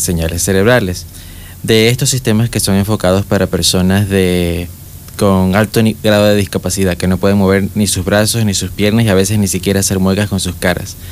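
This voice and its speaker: Fairly low-pitched man at a fairly quick pace, his intonation fairly even, with noticeable background noise. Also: very even loudness. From Panama, David (Chiriquí). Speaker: young engineer. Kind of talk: interview. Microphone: far from the mic.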